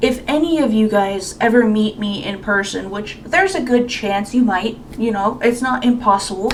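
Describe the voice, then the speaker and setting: Her fairly high voice moves at a moderate pace with ordinary pitch variation. The woman is heard with audible room echo and noticeable background noise. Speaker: YouTuber. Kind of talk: casual Q&A monologue. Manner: halting.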